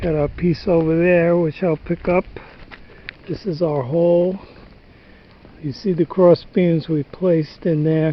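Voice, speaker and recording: A man with a high voice talks at a fairly slow pace. He pauses often and at length. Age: 70s. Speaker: DIY home repair vlogger, stone cutter. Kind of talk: casual how-to vlog. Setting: outdoors on a barn roof. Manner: halting, with fillers and restarts.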